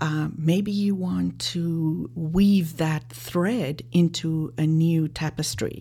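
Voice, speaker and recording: With a South African accent, a woman speaks in a very deep, low pitch, her tone dark and mellow, somewhat breathy, with lively intonation. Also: very clean recording, silent background. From South Africa, Johannesburg. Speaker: life and leadership coach. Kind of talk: interview.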